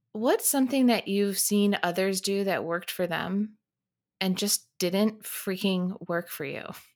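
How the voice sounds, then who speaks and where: At a fairly slow pace, a woman uses a normal speaking voice, medium in pitch with ordinary pitch variation. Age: 40s. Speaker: podcast host and life coach. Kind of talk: casual interview chat.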